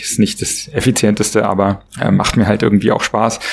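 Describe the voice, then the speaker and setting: A fairly low-pitched man at a fairly quick pace, his intonation fairly even. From Berlin, Germany. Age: 40s. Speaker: author and entrepreneur. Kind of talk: podcast interview. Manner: hesitant, many filler sounds.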